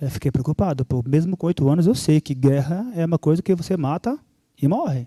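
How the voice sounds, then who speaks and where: Somewhat breathy with a dark, mellow tone, a man's fairly high voice comes through dry and close with no echo, in a very clean recording with a silent background. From Brazil, São Paulo (Angolan-born, moved at 8). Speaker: church speaker giving testimony. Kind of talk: testimony.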